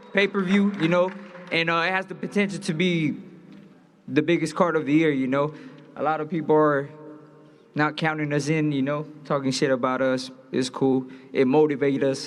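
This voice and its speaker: A man with an American accent and a fairly high pitch, at a moderate pace with long, frequent pauses and audible room echo. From Los Angeles. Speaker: boxer. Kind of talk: press conference speech. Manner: animated.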